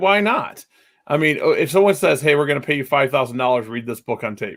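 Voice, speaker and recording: A fairly quick-talking man delivers his words in a fairly high pitch. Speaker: reptile breeder channel host. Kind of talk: casual chat. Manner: loud.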